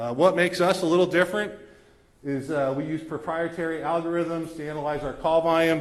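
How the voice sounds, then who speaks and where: With fairly even intonation, the delivery moves along at a fairly quick pace. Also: man, fairly high pitch for a man. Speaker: EMS agency representative. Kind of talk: presentation at township meeting. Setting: public community meeting. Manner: fast.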